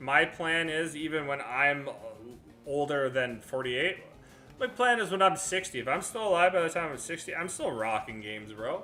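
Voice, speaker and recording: Music plays behind a man speaking at a moderate pace in a fairly high voice. His tone is animated, with very wide pitch swings. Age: 30s. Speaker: gaming streamer. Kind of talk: live stream chat. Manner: casual.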